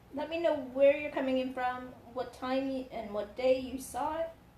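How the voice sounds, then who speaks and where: A woman with a high pitch talks at a moderate pace amid audible room echo and noticeable background noise. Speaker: craft livestream host. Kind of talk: live craft tutorial. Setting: livestream. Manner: hesitant, many fillers.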